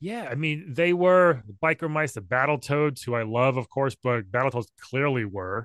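Against a quiet background, a man with a medium pitch talks at a moderate pace with hardly any pauses, his intonation lively and the sound dry and close with no echo. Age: 40s. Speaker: pop culture enthusiast and podcaster. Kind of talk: casual chat. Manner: halting.

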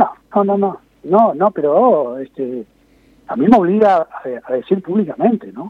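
A man talks at a fairly slow pace with a high pitch. His voice shows very wide pitch swings. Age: 60s. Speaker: market administrator. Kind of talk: interview. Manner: halting.

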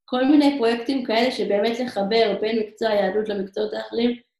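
Here a woman talks at a moderate pace. Her pitch is fairly high and her intonation fairly even. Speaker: emissary teacher abroad. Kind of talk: interview. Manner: halting.

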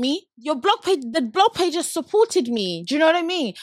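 With an animated tone and very wide pitch swings, a woman speaks at an extremely high pitch and moderate pace, the sound dry and close with no echo. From Nigeria. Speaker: podcast host. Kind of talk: casual chat. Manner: animated, laughs often.

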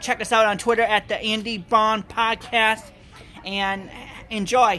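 Raised and projected, the voice has a bright, sharp tone and a flat, monotone delivery at a moderate pace, in an American accent. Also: man. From Appleton, Wisconsin. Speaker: podcast host. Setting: live at a brew pub premiere event.

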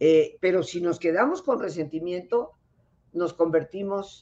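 A woman speaks fairly slowly, her pitch swinging very widely. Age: 70s. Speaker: clinical psychologist. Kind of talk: interview on a live stream. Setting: live online broadcast.

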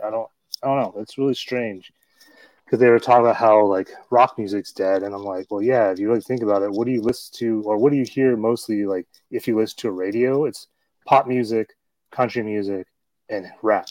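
Against a quiet background, a man speaks fairly quickly in a plain, everyday voice at medium pitch, with fairly even intonation and a dry, close sound with no echo. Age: 40s. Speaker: podcast host. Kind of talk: casual chat.

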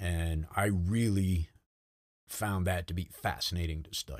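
On a very clean recording with a silent background, a man with an American accent talks at a fairly slow pace in a very deep, low voice with ordinary pitch variation. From Rhode Island, US. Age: 50s. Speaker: retired army sergeant major. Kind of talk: casual interview over drinks.

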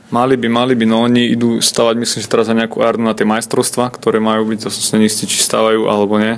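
A man talks at a very fast pace with hardly any pauses, in a monotone, flat intonation. Noticeable background noise sits behind him. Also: medium pitch for a man. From Slovakia. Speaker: handball goalkeeper. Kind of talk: interview. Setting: hotel.

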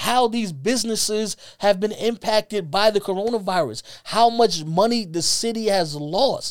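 In a New York accent, a man speaks with an animated tone and a high pitch. The recording is very clean, with a silent background. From Brooklyn, New York. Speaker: sports podcast co-host. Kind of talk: casual sports talk. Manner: halting, repeats words.

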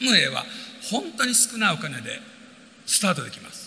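Over noticeable background noise, a man's voice comes through raised and projected. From Japan. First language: Japanese (speaking Portuguese). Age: 60s. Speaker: business motivational speaker and composer. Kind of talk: motivational talk.

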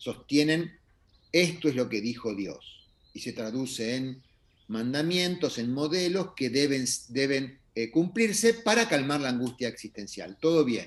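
At a fairly slow pace, a man talks with very wide pitch swings. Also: fairly high pitch for a man. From Argentina. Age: 60s. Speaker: astrologer. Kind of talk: interview conversation.

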